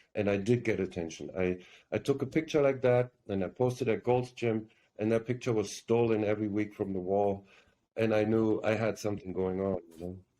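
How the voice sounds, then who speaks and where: A man with a strong German accent speaks at a fairly quick pace in a fairly low pitch, with a dark, mellow tone, ordinary pitch variation and a quiet background. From Germany. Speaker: actor. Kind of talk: interview.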